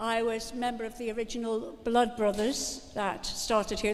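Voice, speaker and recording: Audible room echo surrounds a woman speaking in a Liverpool accent. Her voice sits fairly high, and her intonation stays fairly even. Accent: Liverpool (Scouse). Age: 70s. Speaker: actress and event presenter. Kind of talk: live event hosting. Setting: stage with audience. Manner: chatty, joking ad-lib.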